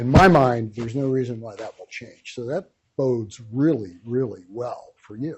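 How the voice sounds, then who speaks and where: His pitch sits mid-range, rising and falling normally. The man's delivery carries a somewhat breathy quality. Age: 70s. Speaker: wealth manager. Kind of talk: lecture. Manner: conversational, with fillers.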